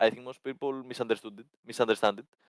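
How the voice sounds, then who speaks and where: A man speaks with a Greek accent. The sound is dry and close, with no echo. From Greece. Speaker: esports team coach. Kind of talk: interview.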